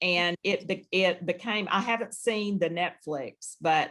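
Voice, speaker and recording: A woman's fairly low voice with a bright, sharp tone and a Southern US accent, at a fairly slow pace with ordinary pitch variation. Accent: Southern US, noticeable. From Louisiana, US South. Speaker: healthcare HR executive. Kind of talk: interview.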